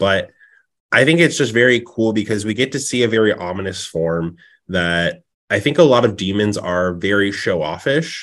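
Against a quiet background, a man speaks at a moderate pace in a fairly low pitch with lively intonation. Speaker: podcast co-host. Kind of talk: casual chat. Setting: at workplace. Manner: loud, animated.

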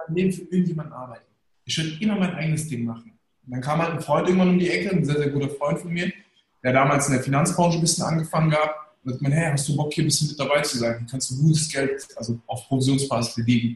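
The delivery moves at a very fast pace. Pitch varies in an ordinary way. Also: man, fairly high pitch for a man. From Germany, Hesse (Darmstadt area, Turkish family). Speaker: managing director, entrepreneur. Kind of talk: casual interview, storytelling. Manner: colloquial, filler-heavy.

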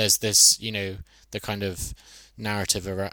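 A man's bright, sharp voice in a southern English accent, fairly even in intonation, on a very clean recording with a silent background. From Brighton, southern England. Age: 20s. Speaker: researcher on bisexuality. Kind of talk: interview. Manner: hesitant, many fillers.

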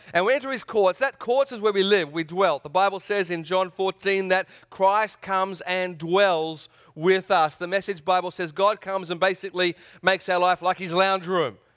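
Speaking in a slight Australian accent, a man with a high pitch sounds enthusiastic, keeping a moderate pace and ordinary pitch variation. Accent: mild Australian. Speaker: preacher. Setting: church service. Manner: enthusiastic, engages audience.

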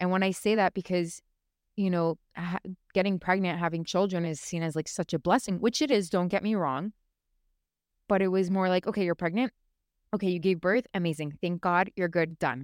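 Speaking at a fairly quick pace, a woman with a fairly low pitch and ordinary pitch variation comes through dry and close with no echo, on a very clean recording with a silent background. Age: 20s. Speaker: podcast host, young mother. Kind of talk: casual solo talk about personal experience. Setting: recording at home, watching baby monitor. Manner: halting, with many fillers and repetitions.

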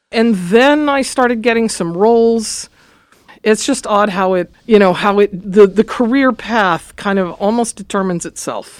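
A woman speaks in a normal speaking voice with an American accent. Her pitch is fairly high, with ordinary pitch variation. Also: moderate pace. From Los Angeles, California. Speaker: music professor and choir conductor. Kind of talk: interview.

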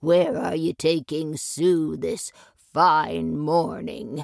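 A growling, put-on character voice at middle pitch, delivered at a very slow pace. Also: female-sounding voice. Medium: read story.

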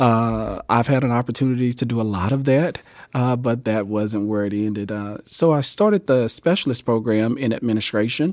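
An ordinary speaking voice from a man with an American accent, medium in pitch with ordinary pitch variation, at a moderate pace, in a very clean recording with a silent background. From US South, Jackson, Mississippi. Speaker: school district leader. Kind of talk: interview.

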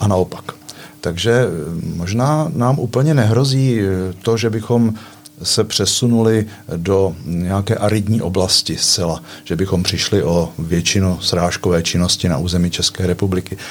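A man speaks at a fairly slow pace in a fairly low voice, with lively intonation and very even loudness. Background noise is noticeable. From eastern Bohemia, Czechia (Litomyšl). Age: 60s. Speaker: water management engineer. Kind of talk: casual chat.

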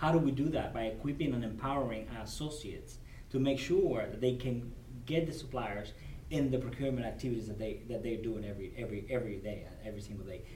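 Against noticeable background noise, a man with a Cuban accent talks at a very fast pace in a medium-pitched voice with ordinary pitch variation. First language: Spanish. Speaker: corporate supplier diversity director. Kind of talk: interview. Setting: at a business convention.

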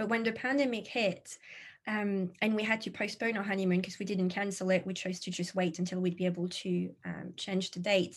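A woman speaks at a fairly quick pace in a somewhat breathy voice, with a French accent, against a quiet background. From France. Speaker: social media consultant. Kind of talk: interview conversation.

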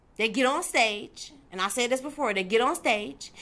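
A woman with an animated, bright, sharp tone, fairly high pitch, lively intonation and a moderate pace. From Detroit, Michigan, US. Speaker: faith show host, Bible teacher. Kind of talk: religious teaching monologue. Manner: animated, emphatic.

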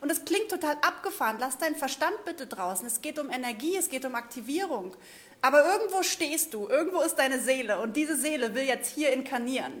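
A woman's animated, high-pitched voice moves with lively intonation. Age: 30s. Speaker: spiritual coach. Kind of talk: livestream monologue.

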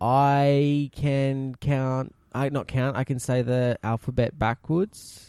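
Dark and mellow in tone, a man's voice moves at a very slow pace. The sound is dry and close, with no echo. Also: medium pitch for a man, hardly any pauses, very even loudness. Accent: Australian. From South Australia. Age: 20s. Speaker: podcast co-host. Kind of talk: casual chat. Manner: animated.

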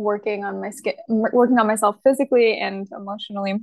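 This woman has a fairly high voice and speaks at a moderate pace. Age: 20s. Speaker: fashion model. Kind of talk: casual interview.

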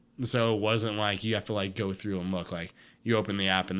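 The speaker has an American accent on a very clean recording with a silent background. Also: man. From US Midwest / Texas. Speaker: recovering alcoholic sharing testimony. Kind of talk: testimony. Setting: at home in his apartment. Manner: loud.

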